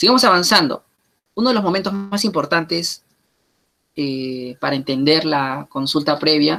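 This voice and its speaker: Quick-paced and lively in intonation, a man is talking. His tone is bright and sharp. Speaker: law professor. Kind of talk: lecture. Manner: fast.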